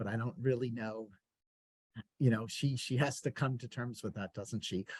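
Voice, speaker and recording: A man talks with an American accent, somewhat breathy. The sound is dry and close, with no echo. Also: medium pitch for a man, ordinary pitch variation, moderate pace. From US Northeast (Queens, New York City). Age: 60s. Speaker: bookseller and event interviewer. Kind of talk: casual conversation in a virtual author event. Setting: video call. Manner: halting, many fillers.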